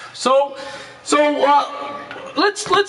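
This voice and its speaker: Noticeable background noise sits behind the speaker. He is a man with an extremely high pitch and ordinary pitch variation. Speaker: streaming show host. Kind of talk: casual interview. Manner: loud.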